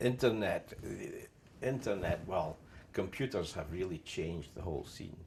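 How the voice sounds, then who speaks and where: A man with a very deep, low pitch, a somewhat breathy sound, lively intonation and a fairly slow pace. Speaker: car literature collector. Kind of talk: oral history interview. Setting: at home.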